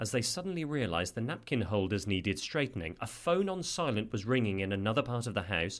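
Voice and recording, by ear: The speaker is reading aloud in a natural voice.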